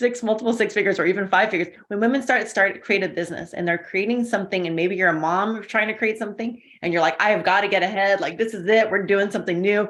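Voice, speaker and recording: Talking very fast, the woman keeps her voice at a medium pitch. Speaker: intuitive coach. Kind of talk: interview. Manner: animated.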